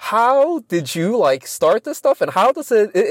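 This man's voice swings very widely in pitch. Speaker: psychiatry clinician and podcast co-host. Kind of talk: casual conversational podcast chat.

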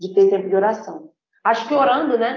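A woman's fairly high-pitched voice at a moderate pace, an unremarkable speaking voice with ordinary pitch variation. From Brazil, Espírito Santo (Vitória). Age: 20s. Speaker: missionary. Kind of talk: podcast interview.

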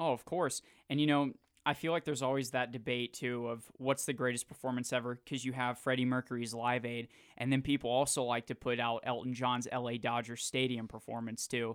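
A man's medium-pitched voice with an American accent, fairly quick and monotone with flat intonation, in a very clean, dry, close recording with a silent background and no echo. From Jacksonville, Florida. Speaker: sports radio host, broadcasting intern. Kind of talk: casual interview chat; scripted radio intro. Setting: radio studio.

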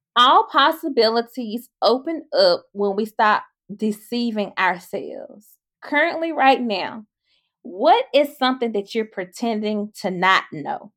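A woman speaks at a fairly slow pace in a high pitch. Her voice makes very wide pitch swings. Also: very clean recording, silent background. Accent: Mississippi. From Mississippi. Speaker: podcast host. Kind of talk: casual chat.

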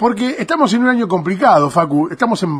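A man with lively intonation and an animated tone. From Argentina, Buenos Aires province (Arrecifes). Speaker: radio host and stadium announcer. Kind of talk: interview; formal introduction.

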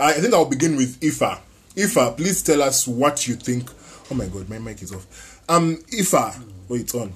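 With lively intonation and a somewhat breathy sound, a man speaks at a moderate pace. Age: 20s. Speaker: podcast host. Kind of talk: casual chat.

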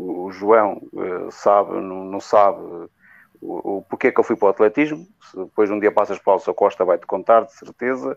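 A man with a plain, everyday voice speaks at a moderate pace, fairly low in pitch with ordinary pitch variation. The sound is dry and close with no echo against a quiet background, and his loudness swings widely. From northern Portugal, Vila Real district. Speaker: regional athletics association president. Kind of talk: casual interview chat.

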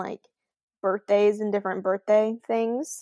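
A woman speaks in an ordinary speaking voice at a fairly high pitch and a moderate pace, with a dry, close sound and no echo. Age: 20s. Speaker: podcast co-host. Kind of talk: casual chat. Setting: video recording from her bedroom.

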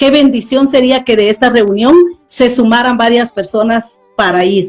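A woman speaks with a fairly high pitch. Hers is an unremarkable speaking voice. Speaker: missionary. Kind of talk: interview testimony.

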